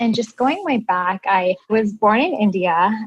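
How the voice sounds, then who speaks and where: With a Midwestern American accent, a woman of medium pitch talks at a moderate pace with ordinary pitch variation. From US Midwest. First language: Indian language (English is third). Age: 30s. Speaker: plastic surgery resident. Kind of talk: interview.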